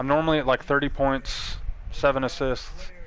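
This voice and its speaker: Over noticeable background noise, a man with an American accent talks at a moderate pace, his fairly high pitch following fairly even intonation. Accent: Texas accent, toned down. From Texas, Dallas-Fort Worth then Texas panhandle. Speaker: video game streamer. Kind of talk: live game stream commentary. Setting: live stream. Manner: laid back.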